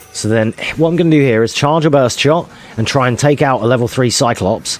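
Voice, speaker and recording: Speaking at a fairly quick pace, a man at medium pitch keeps a very even loudness against noticeable background noise. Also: ordinary pitch variation. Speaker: speedrunner. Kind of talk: gameplay commentary.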